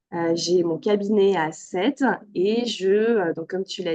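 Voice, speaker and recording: This woman's voice has a medium pitch and ordinary pitch variation. Its tone is dark and mellow. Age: 30s. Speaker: yoga therapist. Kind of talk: interview. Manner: hesitant, many fillers.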